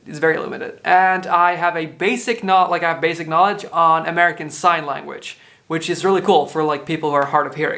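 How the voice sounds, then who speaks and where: Speaking at a moderate pace, a man with a Dutch accent has a high pitch. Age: 20s. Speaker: podcaster. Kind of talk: casual monologue, answering questionnaire. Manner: casual, low key.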